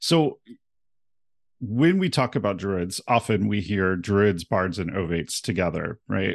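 Speaking with a plain, everyday voice at a fairly low pitch, a man talks at a moderate pace in a quiet background. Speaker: podcast host. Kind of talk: interview conversation.

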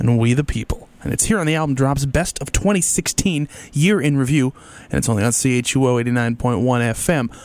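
Pitch varies in an ordinary way here. It's a plain, everyday voice. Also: man. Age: 30s. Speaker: radio host. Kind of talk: radio music show presenting. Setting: radio studio.

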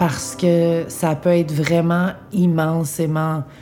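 Her voice is very deep and low, with a dark, mellow tone. This woman speaks with monotone, flat intonation. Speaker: interviewee with cancer. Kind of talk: intimate interview. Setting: at home in apartment.

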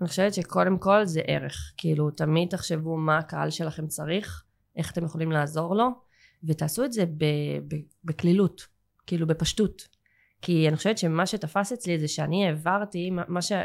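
A woman has a plain, everyday voice, fairly low in pitch, with ordinary pitch variation. Her pace is moderate. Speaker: English teacher and school owner. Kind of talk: casual interview chat.

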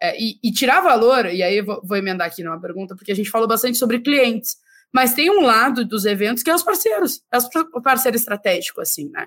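Her voice fairly high, a woman speaks at a very fast pace. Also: lively intonation, very clean recording, silent background. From southern Brazil (Rio Grande do Sul). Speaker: podcast host. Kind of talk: casual chat.

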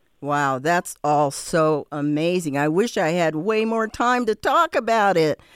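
In a plain, everyday voice, the speaker goes at a fairly slow pace with hardly any pauses, lively intonation and very even loudness, in a dry, close sound with no echo. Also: woman, fairly low pitch for a woman. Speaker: radio host. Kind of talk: casual chat. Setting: studio.

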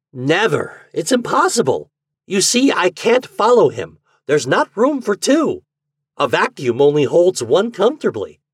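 Putting on a character voice, a man speaks at a high pitch and a fairly slow pace with very wide pitch swings. His voice has a slightly husky edge, and the sound is dry and close with no echo.

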